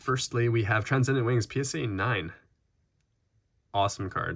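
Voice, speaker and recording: A man speaks at a moderate pace, his pitch varying in an ordinary way. The recording itself is very clean, the background silent. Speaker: trading card collector and YouTuber. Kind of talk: casual unboxing commentary. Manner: casual with frequent fillers.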